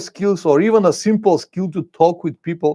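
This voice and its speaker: A man with a high voice and a dark, mellow tone talks at a moderate pace with ordinary pitch variation, the sound dry and close with no echo against a quiet background. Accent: non-native. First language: Bulgarian. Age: 50s. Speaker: motorcycle travel vlogger. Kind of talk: live stream chat reading comments. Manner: halting, searching for words.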